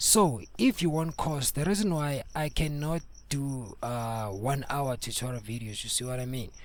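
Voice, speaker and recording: Lively intonation from a man with a Zulu accent, fairly high in pitch, at a moderate pace. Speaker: music producer and mastering tutor. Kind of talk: tutorial. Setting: home studio. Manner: code-switching between Zulu and English; casual, repetitive.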